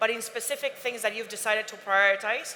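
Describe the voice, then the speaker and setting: With a Spanish accent and a fairly high pitch, a woman speaks at a fairly quick pace amid noticeable background noise. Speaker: airline representative on panel. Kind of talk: panel discussion.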